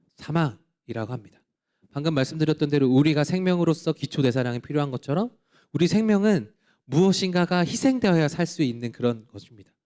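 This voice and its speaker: At a fairly quick pace, a man with a fairly high pitch speaks in a dark, mellow tone with lively intonation. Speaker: pastor. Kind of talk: sermon. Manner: fast.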